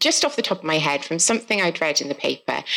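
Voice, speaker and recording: A woman speaks with a Welsh accent. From South Wales. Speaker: author. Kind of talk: casual live podcast conversation. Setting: live festival event with audience.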